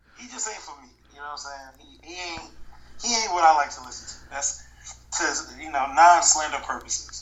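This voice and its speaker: With audible room echo and noticeable background noise, a man speaks at a fairly quick pace in a fairly high pitch with ordinary pitch variation. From New York, moved to Georgia at 13. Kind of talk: casual chat.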